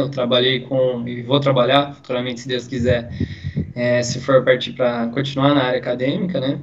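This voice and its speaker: Music plays in the background as a man speaks. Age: 20s. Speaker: physical education student. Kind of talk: casual chat.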